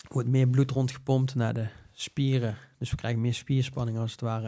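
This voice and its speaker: At a fairly quick pace, a man speaks with medium pitch and monotone, flat intonation. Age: 30s. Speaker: breathing coach. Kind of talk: interview.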